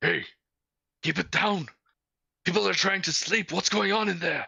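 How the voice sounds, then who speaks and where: In a put-on character voice, the speaker sounds gruff at a middle pitch and a moderate pace. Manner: irritated.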